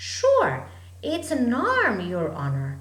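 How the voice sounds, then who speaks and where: A put-on character voice, raised and projected. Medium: read story. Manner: deferential, says "Sure".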